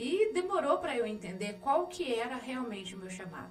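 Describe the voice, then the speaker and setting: Over noticeable background noise and audible room echo, a woman speaks fairly slowly in a Minas Gerais accent. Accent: mineiro. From Minas Gerais, Brazil (Andradas). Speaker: missionary and local official. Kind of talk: interview.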